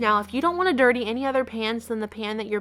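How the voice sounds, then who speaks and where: A woman's voice shifts in pitch by an ordinary amount as music sounds behind her. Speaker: home cook. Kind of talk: cooking tutorial narration. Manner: friendly, casual.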